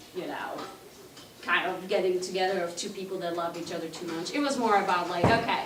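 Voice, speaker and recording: A woman with a Slovak accent speaks at a medium pitch. Audible room echo and noticeable background noise come through around her. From Slovakia, Košice (eastern Slovakia). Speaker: cultural presenter and home cook. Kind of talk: presentation to an audience. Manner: casual, many filler words.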